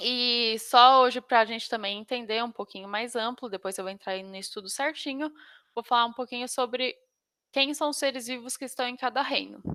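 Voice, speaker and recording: A woman's high-pitched voice, bright and sharp in tone, with fairly even intonation. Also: moderate pace. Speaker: biology teacher. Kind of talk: online lecture. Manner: halting.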